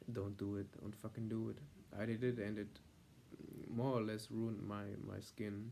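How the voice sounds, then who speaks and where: A man with a German accent speaks at medium pitch in a dark, mellow tone with monotone, flat intonation. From Germany. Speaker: vlogger. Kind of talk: vlog monologue. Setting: filmed on iPad at home. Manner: halting, many fillers.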